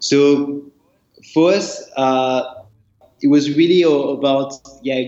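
In a French accent, a man speaks with a fairly high pitch. His intonation is fairly even. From France. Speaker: startup executive. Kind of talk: interview.

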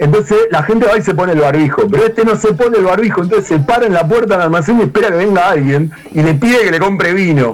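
Amid noticeable background noise, a man with a high voice talks very fast with hardly any pauses, using lively intonation at a very even loudness. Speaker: podcast panelist. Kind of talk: casual banter among friends.

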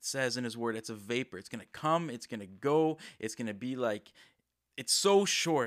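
A plain, everyday voice from a man at a moderate pace, with ordinary pitch variation, on a very clean recording with a silent background. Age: 20s. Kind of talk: devotional podcast talk. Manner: casual, filler-heavy.

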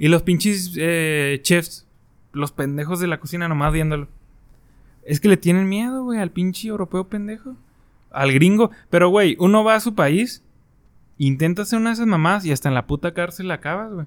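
A man's high-pitched voice with ordinary pitch variation, at a moderate pace. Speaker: podcast co-host. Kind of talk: casual chat.

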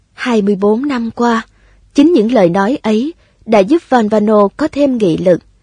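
Somewhat breathy, fairly slow speech with lively intonation, dry and close with no echo. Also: woman. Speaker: audiobook narrator. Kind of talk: reading aloud.

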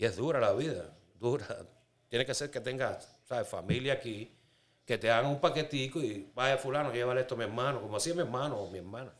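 A man at a fairly quick pace, medium in pitch, with ordinary pitch variation. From Cuba. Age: 50s. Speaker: Cuban immigrant sharing life story. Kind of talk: testimony. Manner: casual, conversational.

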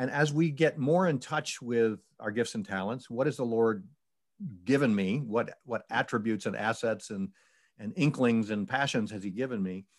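A man with an American accent, an unremarkable speaking voice, medium pitch and ordinary pitch variation, at a moderate pace in a very clean recording with a silent background. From Syracuse, New York, US. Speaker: retired charity executive and author. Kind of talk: interview testimony.

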